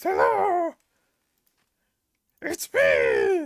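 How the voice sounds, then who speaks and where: The voice is extremely high in pitch. It is a put-on character voice. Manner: gruff, brutish.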